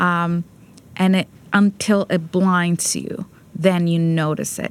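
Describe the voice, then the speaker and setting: With a Spanish accent, a woman speaks at a medium pitch. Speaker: peace advocate and prison rehabilitation program director. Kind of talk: interview. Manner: halting, many fillers.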